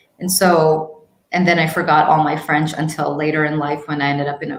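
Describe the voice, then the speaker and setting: A woman with an American accent speaks at a moderate pace and a very deep, low pitch, with audible room echo. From international upbringing, six countries. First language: Hindi. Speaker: YouTube marketing expert. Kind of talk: interview conversation.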